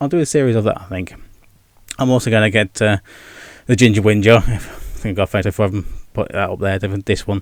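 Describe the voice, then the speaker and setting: A very fast-talking man with an English accent and a fairly low pitch. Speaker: gaming and vlog YouTuber. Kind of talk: casual vlog monologue. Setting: home with video background. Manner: stumbles over words.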